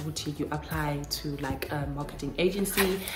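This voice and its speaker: A woman speaks at a moderate pace. Noticeable background noise and audible room echo surround her voice. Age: 20s. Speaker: YouTuber. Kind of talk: casual advice talk to camera. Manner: chatty.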